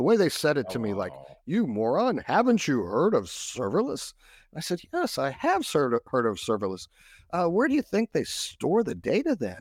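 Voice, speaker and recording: A man with an American accent uses vocal fry and very wide pitch swings. He talks at a moderate pace, and the recording is very clean with a silent background. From Texas. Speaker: cybersecurity expert. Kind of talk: interview.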